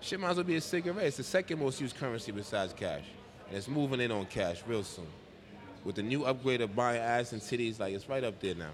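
In a New York accent, a man of medium pitch speaks at a very fast pace with very wide pitch swings. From Bronx, New York. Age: 30s. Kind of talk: casual chat.

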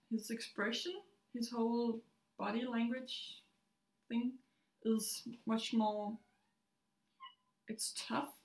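A woman with a Danish accent speaks at a very slow pace. Her pitch is high, and she leaves long, frequent pauses. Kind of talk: casual chat.

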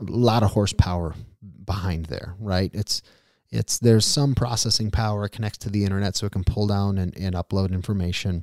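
A man with a plain, everyday voice speaks at a fairly quick pace, his pitch fairly low with ordinary variation. The recording is very clean and dry, close with no echo, against a silent background. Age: 30s. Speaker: podcast host. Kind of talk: solo podcast monologue. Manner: casual, conversational.

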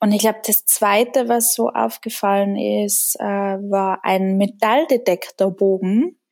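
With a Tyrolean accent, a woman speaks at a very slow pace with hardly any pauses, a medium pitch, ordinary pitch variation and very even loudness. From Austria, Tyrol. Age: 20s. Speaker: painter, artist. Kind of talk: interview.

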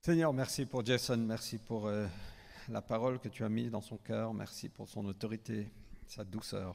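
Here a man has a normal speaking voice. He uses medium pitch at a moderate pace. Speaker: church leader. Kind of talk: prayer. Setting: church.

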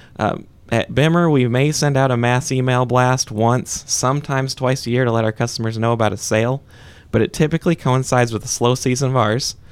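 A man with a plain, everyday voice speaks at a fairly quick pace and medium pitch, with ordinary pitch variation and very even loudness. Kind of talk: conversational interview answers, plain-spoken business talk. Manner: relaxed, folksy and earnest, with frequent 'uh' and 'you know' fillers.

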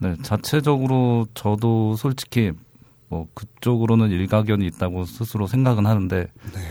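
This man's voice has a dark, mellow tone and a fairly low pitch. He speaks at a fairly slow pace on a very clean recording with a silent background. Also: ordinary pitch variation. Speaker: website operator. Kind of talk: interview. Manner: formal.

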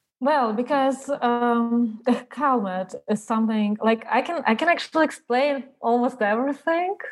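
A high-pitched woman with a Russian accent, at a moderate pace, with ordinary pitch variation and hardly any pauses. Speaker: artist. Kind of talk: interview. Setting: video call.

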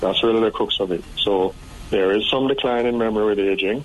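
Noticeable background noise sits behind this recording. A man speaks with a fairly low pitch and fairly even intonation. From Jamaica. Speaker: psychiatrist. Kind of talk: interview.

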